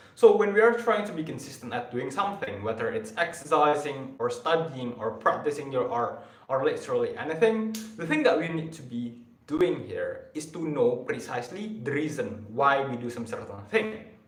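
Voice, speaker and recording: A man with a non-native accent, fairly high in pitch, with very wide pitch swings and big swings in loudness, plus audible room echo and noticeable background noise. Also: moderate pace. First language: not English. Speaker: self-improvement live streamer. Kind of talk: rehearsed motivational talk on live stream. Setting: live stream. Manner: stuttering, halting.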